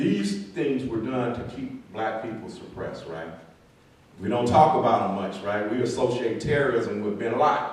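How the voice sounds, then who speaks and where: A man with an American accent speaks at a medium pitch, his tone animated and his pitch varying in an ordinary way. Room echo is audible, and there is noticeable background noise. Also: moderate pace. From Compton, California. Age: 60s. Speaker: author and historian speaking at a book event. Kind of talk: book talk lecture with slides. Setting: room with audience and slides. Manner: conversational, animated.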